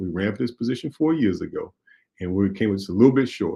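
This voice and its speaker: A man talks with a Mississippi accent. His pitch sits fairly low. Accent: US Southern (Mississippi). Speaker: radio talk show host and state legislator. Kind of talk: call-in talk show and campaign appeal.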